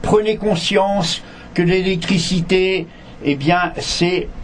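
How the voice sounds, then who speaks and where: A high-pitched male voice with ordinary pitch variation amid noticeable background noise. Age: 70s. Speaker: environmental association president. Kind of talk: interpreted radio interview. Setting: radio studio.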